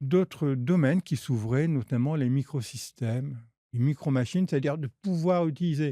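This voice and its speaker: The voice has a dark, mellow tone and moves at a fairly quick pace with ordinary pitch variation. The recording is very clean, with a silent background. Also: man. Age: 60s. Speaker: researcher and engineer. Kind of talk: podcast interview. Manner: halting, many fillers and repetitions.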